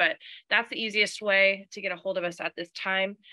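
The speaker talks at a fairly quick pace. Their tone comes across bright and sharp. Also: woman. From Texas. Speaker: catering and event services staff. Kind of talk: training presentation. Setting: room with live audience, also streamed online.

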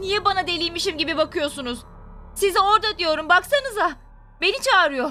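A woman's put-on character voice, extremely high in pitch, at a fairly quick pace. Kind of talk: radio drama acting. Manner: scared, agitated.

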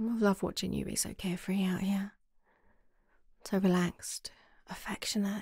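A woman with a medium pitch and a somewhat breathy voice speaks at a moderate pace in a monotone, flat intonation, with long, frequent pauses. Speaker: ASMR roleplay creator. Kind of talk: ASMR girlfriend roleplay. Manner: soft-spoken, affectionate.

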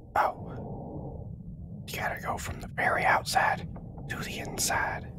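A man's whispering amid noticeable background noise. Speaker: let's play gamer. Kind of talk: gameplay commentary. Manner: whispered.

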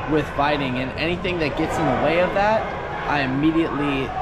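Loud background noise sits behind a man whose pitch varies in an ordinary way. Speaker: interviewee. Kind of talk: interview answer. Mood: confident, relaxed.

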